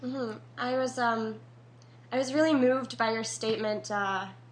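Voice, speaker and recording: A woman speaks with ordinary pitch variation and audible room echo. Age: 20s. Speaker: podcast host and theater student. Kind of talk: interview; scripted intro.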